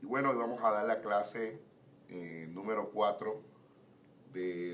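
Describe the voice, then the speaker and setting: There is audible room echo as a man speaks at a fairly slow pace. His voice sits fairly low. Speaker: pastor. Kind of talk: Bible teaching class. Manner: slow, measured.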